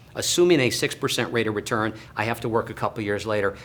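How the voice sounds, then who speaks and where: Here a man talks at a fairly quick pace, his pitch medium. His tone is bright and sharp, with lively intonation. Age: 60s. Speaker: financial planner. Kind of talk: educational talk to camera.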